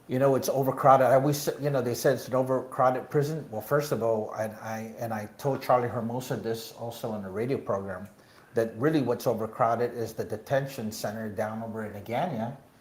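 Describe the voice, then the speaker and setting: A man with a medium pitch talks at a fairly quick pace with hardly any pauses and fairly even intonation, with audible room echo. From Guam. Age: 60s. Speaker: political candidate. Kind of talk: interview. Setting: live show at a bar venue. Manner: halting, many fillers.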